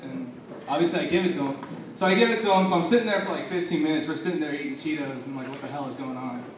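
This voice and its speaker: With noticeable background noise, a man speaks very fast at a fairly high pitch, using lively intonation and big swings in loudness. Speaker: spoken word poet. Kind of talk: casual comedic storytelling to a live audience.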